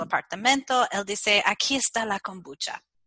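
Speaking with an American accent at a moderate pace, a woman uses a fairly high pitch and ordinary pitch variation, in a dry, close sound with no echo. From US Midwest, Chicago. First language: English (speaking Spanish). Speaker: kombucha expert and author. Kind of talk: interview. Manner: halting, frequent fillers and English slips; energetic.

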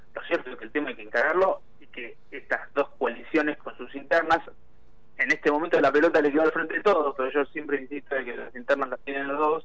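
This man talks at a very fast pace, his pitch fairly high. His loudness swings widely from moment to moment. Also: ordinary pitch variation. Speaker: parliamentary affairs commentator. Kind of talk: political analysis interview.

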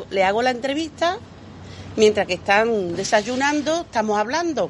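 At a moderate pace, a woman with a plain, everyday voice speaks at a fairly high pitch with lively intonation. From Andalusia, Lebrija (Seville province). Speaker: community radio reporter and market vendor. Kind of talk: casual interview. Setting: outdoors at a breakfast in central Seville.

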